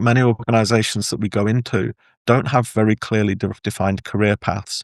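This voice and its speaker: In an English accent, the speaker goes at a moderate pace with a dry, close sound, no echo and a quiet background. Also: man. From England. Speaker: workplace engagement consultant and author. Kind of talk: podcast interview. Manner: hesitant with repetitions.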